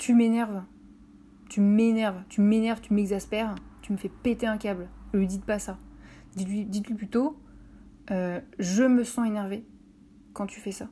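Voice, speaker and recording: Dark and mellow in tone, a woman's somewhat breathy, medium-pitched voice moves at a moderate pace with fairly even intonation. Her loudness swings widely, and she leaves long, frequent pauses. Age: 30s. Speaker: podcaster. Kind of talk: solo podcast monologue. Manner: hesitant, many filler words.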